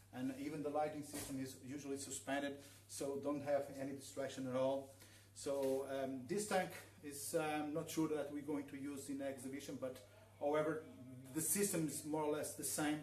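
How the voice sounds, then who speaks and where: Amid noticeable background noise and audible room echo, a man with a Portuguese accent talks at a moderate pace, his fairly high pitch held in fairly even intonation. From northern Portugal. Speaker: aquascaper giving a workshop. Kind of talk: live demonstration workshop. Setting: live stream in showroom. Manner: halting, many fillers. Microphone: too quiet.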